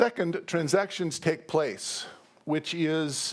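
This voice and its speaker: Speaking very slowly, a man with a fairly high pitch and ordinary pitch variation is heard in a very clean recording with a silent background. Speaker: professor. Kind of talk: lecture. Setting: stage with audience. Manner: animated.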